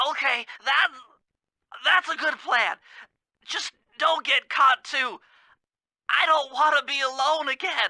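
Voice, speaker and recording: A high-pitched, put-on character voice at a fairly slow pace, with long, frequent pauses over a quiet background. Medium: video game. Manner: nervous, stammering, wordy.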